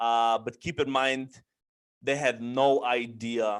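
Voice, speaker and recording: Over a silent background on a very clean recording, a man of medium pitch speaks in a flat monotone. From Bulgaria, moved to US after first grade (Dallas, then Chicago). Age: 20s. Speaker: trucking business owner. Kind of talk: interview. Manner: many fillers (um, you know).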